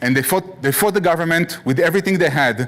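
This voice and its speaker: Speaking at a very fast pace, a man uses a fairly high pitch. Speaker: guest lecturer. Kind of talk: lecture.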